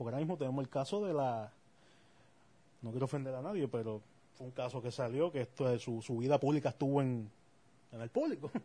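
A man's dark, mellow, somewhat breathy voice at medium pitch, very fast pace and ordinary pitch variation, broken by long, frequent pauses. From Puerto Rico. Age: 30s. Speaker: podcast co-host. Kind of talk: casual chat.

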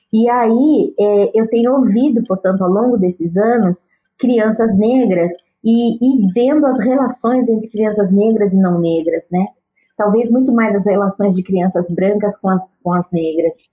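Somewhat breathy, a woman speaks in a fairly high pitch at a fairly slow pace, her loudness very even throughout. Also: ordinary pitch variation. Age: 50s. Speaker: children's author and educator. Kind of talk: interview.

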